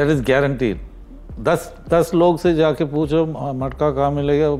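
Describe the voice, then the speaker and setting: Over noticeable background noise, a man speaks with fairly even intonation and fairly high pitch. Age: 70s. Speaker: social worker. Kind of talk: interview. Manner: halting, repeats words.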